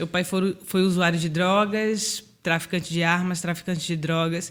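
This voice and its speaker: Fairly unhurried delivery, captured on a very clean recording against a silent background. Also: woman. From Bahia, Brazil. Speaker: founder of a social charity. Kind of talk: podcast interview.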